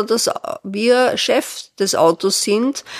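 Heard dry and close with no echo, a woman speaks at a very slow pace with ordinary pitch variation. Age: 70s. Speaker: retired pastor and activist. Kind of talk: casual interview. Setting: her living room.

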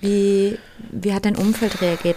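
Noticeable background noise fills the clip. The woman's voice sits at a medium pitch. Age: 30s. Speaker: podcast host, yoga teacher and doula. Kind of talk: casual interview chat; scripted outro.

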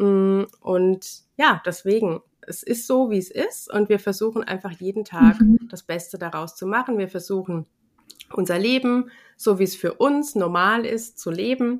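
In an unremarkable speaking voice, a woman talks at a fairly slow pace, medium in pitch with ordinary pitch variation. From Rheinhessen, Germany. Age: 40s. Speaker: yoga and ayurveda teacher. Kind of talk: interview.

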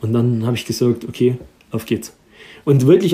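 Dark, mellow, somewhat breathy speech from a man at a moderate pace. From Erzgebirge, Saxony. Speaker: chef and restaurant owner. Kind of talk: interview.

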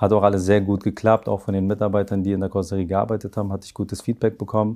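The man's voice has a dark, mellow tone. His intonation is monotone and flat. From northern Germany, Hamburg area (raised from age three, born in Afghanistan). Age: 30s. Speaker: master car painter, head of paint shop. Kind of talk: interview. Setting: in person at workplace.

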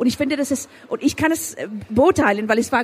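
Against noticeable background noise, a woman talks at a moderate pace with lively intonation. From Afghanistan. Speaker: author and filmmaker. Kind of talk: interview. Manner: halting, with repetitions and English code-switching.

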